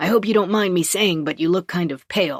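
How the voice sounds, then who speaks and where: A growling, put-on character voice at middle pitch rattles along at a fairly quick pace. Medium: read story. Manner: casual, plain-spoken.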